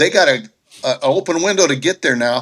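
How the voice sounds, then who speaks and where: Animated and bright with a sharp tone, a man speaks at a moderate pace with ordinary pitch variation. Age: 70s. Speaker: sports commentator on panel. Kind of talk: heated debate.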